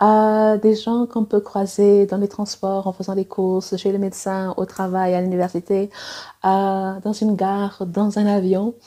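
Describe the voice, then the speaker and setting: A woman speaks fairly slowly at a medium pitch, her dark, mellow tone staying monotone with flat intonation. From Angola, also Cuba, Portugal, South Africa. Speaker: romance author and editor. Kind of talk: personal vlog monologue. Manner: hesitant, many fillers.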